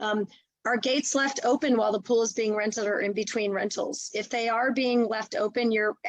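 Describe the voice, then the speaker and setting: The sound is dry and close with no echo as a woman speaks at a fairly high pitch with fairly even intonation. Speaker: nonprofit executive director. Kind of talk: webinar presentation. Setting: video call. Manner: fast.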